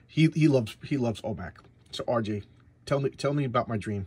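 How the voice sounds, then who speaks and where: Somewhat breathy, this voice moves at a very fast pace with ordinary pitch variation. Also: man. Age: 50s. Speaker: comic book reviewer. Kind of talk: casual monologue review. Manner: stammering, repeats words.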